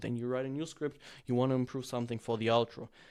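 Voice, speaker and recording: A man with a non-native accent talks at a fairly quick pace. His pitch is medium, and the recording is very clean with a silent background. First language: not English. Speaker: YouTube growth coach. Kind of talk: tutorial. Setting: in front of a camera. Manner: freestyle, unscripted.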